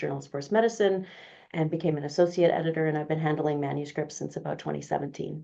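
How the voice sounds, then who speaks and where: A woman's very deep, low-pitched voice in a Canadian accent. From Canada, Vancouver. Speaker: physiotherapy researcher and journal editor. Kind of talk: interview. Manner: casual, with many fillers.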